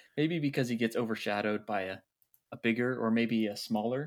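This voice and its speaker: Delivered at a fairly quick pace, a plain, everyday voice carries ordinary pitch variation. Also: man, very clean recording, silent background. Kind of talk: casual chat. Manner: playful, joking.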